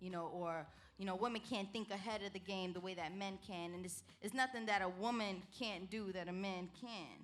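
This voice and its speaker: A woman speaks in a Brooklyn accent at medium pitch. Her pace is moderate and her intonation fairly even. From New York City, Brooklyn. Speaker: entertainer. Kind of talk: interview.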